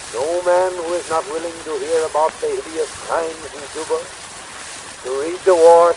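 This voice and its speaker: Over noticeable background noise, a man with an American accent talks at a high pitch and a moderate pace, with hardly any pauses and a monotone, flat intonation. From United States. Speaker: showman. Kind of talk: political speech. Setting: 1898 phonograph recording with pops and hiss. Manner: showman's cadence, oratorical. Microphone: old recording.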